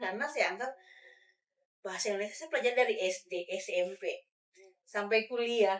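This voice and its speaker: A woman's fairly high voice at a fairly quick pace, ordinary pitch variation, and long, frequent pauses. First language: regional mother tongue, not Indonesian (speaking Indonesian). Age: adult. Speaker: language educator. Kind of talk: podcast discussion. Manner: hesitant with fillers.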